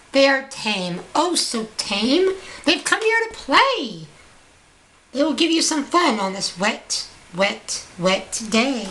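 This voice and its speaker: A put-on character voice with very wide pitch swings at a very slow pace. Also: woman, high pitch for a woman. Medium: read story. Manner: playful, showy.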